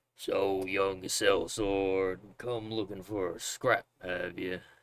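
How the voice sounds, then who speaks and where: In a put-on character voice, a man speaks gruff and gravelly at a fairly low pitch, with monotone, flat intonation and a very slow pace. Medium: game stream. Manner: gruff, hearty.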